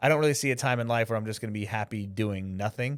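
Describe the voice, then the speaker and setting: This man speaks with an American accent at a very fast pace, captured in a very clean recording against a silent background. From New York. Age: 40s. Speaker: filmmaker and live broadcast director. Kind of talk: podcast interview. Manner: casual, filler-heavy.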